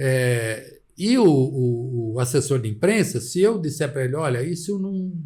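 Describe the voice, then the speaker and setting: A man with a fairly high-pitched, somewhat breathy voice and a dark, mellow tone speaks at a fairly slow pace with lively intonation. He has hardly any pauses, and audible room echo is present. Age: 70s. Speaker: journalist. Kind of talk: interview.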